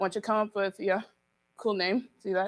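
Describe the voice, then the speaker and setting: A woman's medium-pitched voice at a fairly quick pace, in dry, close sound with no echo. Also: very clean recording, silent background. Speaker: event organizer. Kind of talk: live event hosting. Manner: casual, hesitant with fillers.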